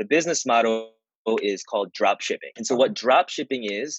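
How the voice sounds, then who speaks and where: A man with a medium pitch and lively intonation talks in a plain, everyday voice. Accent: American. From US Northeast, suburbs of Philadelphia. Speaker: online business owner. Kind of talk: interview. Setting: video call.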